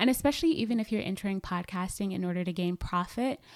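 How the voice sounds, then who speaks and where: In an American accent, a woman with an unremarkable speaking voice talks at a medium pitch and a fairly quick pace on a very clean recording with a silent background. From US South, Atlanta, Georgia. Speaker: podcast host and digital media strategist. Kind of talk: interview.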